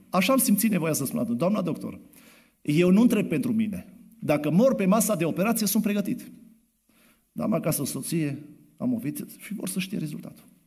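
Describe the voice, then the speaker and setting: A man speaks at a fairly quick pace in a high pitch with lively intonation. Long, frequent pauses break up his speech, and room echo is audible. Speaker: preacher. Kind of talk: sermon. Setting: church. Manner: soft-spoken.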